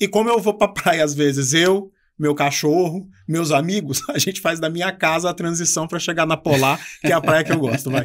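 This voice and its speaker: A high male voice with ordinary pitch variation, moving at a moderate pace. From Brazil, Gama (Federal District). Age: 40s. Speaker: university professor and politician. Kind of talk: casual interview.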